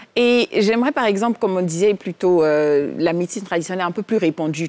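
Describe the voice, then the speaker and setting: Fairly quick speech from a woman, fairly low in pitch, with ordinary pitch variation. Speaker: TV talk show co-host. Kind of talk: TV talk show. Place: studio. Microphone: lapel.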